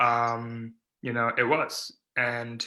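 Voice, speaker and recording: This man has a Californian accent and a medium pitch. His tone is bright and sharp. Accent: General American (California). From California (Silicon Valley). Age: 20s. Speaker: stuttering advocate, nonprofit founder. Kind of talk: interview.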